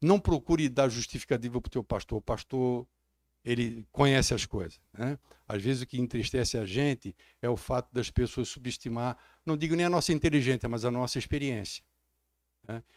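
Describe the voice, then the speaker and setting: Ordinary pitch variation marks a man's moderately paced speech. The recording sounds dry and close, with no echo. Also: medium pitch for a man, very clean recording, silent background. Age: 60s. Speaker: pastor. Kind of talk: sermon. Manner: animated.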